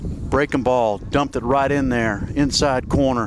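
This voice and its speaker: At a moderate pace and medium pitch, a man speaks with fairly even intonation over noticeable background noise. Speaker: baseball play-by-play announcer. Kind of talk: live commentary.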